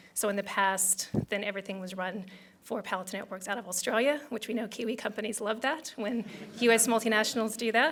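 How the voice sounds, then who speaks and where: This woman talks at a very fast pace with an American accent. Her pitch is fairly high. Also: ordinary pitch variation. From United States. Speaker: tech company country director. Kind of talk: business event speech.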